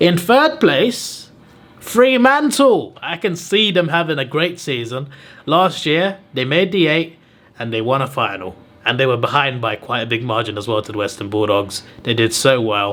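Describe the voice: This voice has a fairly bright tone and moves at a moderate pace. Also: man, medium pitch for a man, lively intonation.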